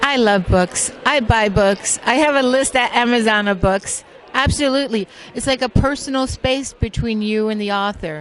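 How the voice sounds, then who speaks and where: A woman talks at a moderate pace in a fairly high pitch with ordinary pitch variation. Noticeable background noise runs underneath. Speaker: interviewer. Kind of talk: interview question. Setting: expo floor.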